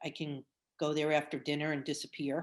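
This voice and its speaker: A woman speaks with a New York accent and a fairly low pitch. The recording is very clean, with a silent background. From New Jersey. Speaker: quilting teacher. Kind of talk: interview. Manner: animated.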